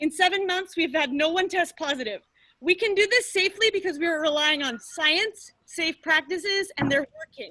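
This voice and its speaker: Raising and projecting her voice, a woman speaks with extremely high pitch and lively intonation. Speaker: parent giving public comment. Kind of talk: public comment at meeting. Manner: loud.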